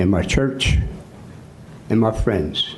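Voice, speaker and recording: A man is heard talking in a room with audible echo, and noticeable background noise is present too. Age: 70s. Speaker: citizen speaker at public comment. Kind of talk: public comment speech. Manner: impassioned.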